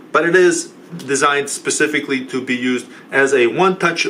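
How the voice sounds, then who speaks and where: A man's voice over noticeable background noise. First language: not English. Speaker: tech support youtuber. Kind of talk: product review tutorial.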